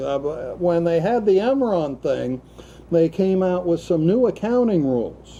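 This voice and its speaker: With a high pitch and lively intonation, a man speaks at a fairly slow pace. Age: 60s. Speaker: talk show host. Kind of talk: casual political discussion.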